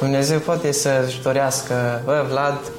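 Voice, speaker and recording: The speech moves at a moderate pace with fairly even intonation, with audible room echo and noticeable background noise. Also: man. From Romania, Bistrița-Năsăud. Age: young. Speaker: architecture student. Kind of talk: interview conversation.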